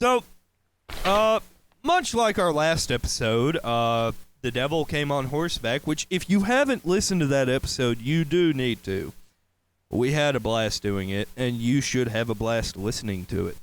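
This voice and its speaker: A man of medium pitch with a slight Southern accent and very wide pitch swings, in a very clean recording over a silent background. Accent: slight southern drawl. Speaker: podcast host. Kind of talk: casual chat.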